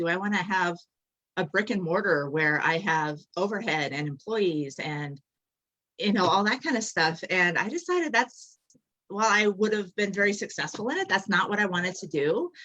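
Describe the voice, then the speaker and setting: An unremarkable speaking voice from a woman with an American accent, medium in pitch, fairly quick, with lively intonation. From Colorado. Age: 40s. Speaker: health and wellness coach. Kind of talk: casual chat.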